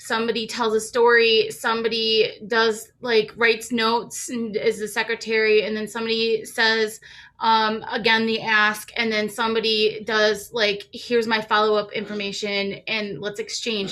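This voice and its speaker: A woman is speaking. Her voice is fairly high and bright, with a sharp tone. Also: moderate pace, hardly any pauses. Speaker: community advocate. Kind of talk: casual comment in online training. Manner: animated, halting.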